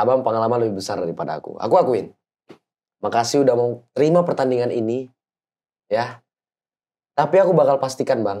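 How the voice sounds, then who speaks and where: The speech comes at a very fast pace, broken by long, frequent pauses, with lively intonation and a dark, mellow tone. The background is quiet. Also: man. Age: young. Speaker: amateur boxer; guest. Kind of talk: casual interview. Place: studio. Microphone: lapel.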